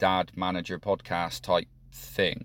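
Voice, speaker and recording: Speaking at a very slow pace, a man uses a fairly low pitch in a British accent. The recording is very clean with a silent background. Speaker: podcast host. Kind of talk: solo monologue podcast, reflective talk. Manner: halting, thinking aloud with fillers.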